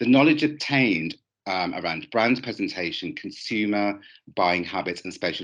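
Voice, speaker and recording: This man has a Birmingham accent and a fairly low pitch, with lively intonation. He talks at a moderate pace over a quiet background. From England, Birmingham. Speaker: fashion lecturer. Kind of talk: conference presentation. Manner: hesitant with frequent fillers.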